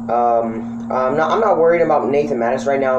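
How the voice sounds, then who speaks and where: The speech has ordinary pitch variation against noticeable background noise. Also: man. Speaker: small channel vlogger. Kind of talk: casual vlog chat. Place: home room. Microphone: webcam.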